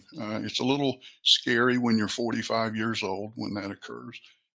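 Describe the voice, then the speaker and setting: The man's voice sits at a medium pitch, delivered at a moderate pace in a monotone, flat intonation. It is a very clean recording with a silent background. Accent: Appalachian. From US South. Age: 60s. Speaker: training and development professional. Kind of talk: interview. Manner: halting.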